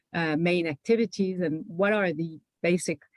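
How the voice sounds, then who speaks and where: The speech moves at a moderate pace. It comes in a Quebec accent. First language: French. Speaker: panelist, public health policy official. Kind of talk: panel presentation. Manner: halting, many fillers and restarts.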